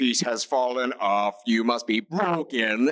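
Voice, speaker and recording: Putting on a character voice at a medium pitch, a man speaks at a fairly slow pace in a dry, close sound with no echo. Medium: actual play.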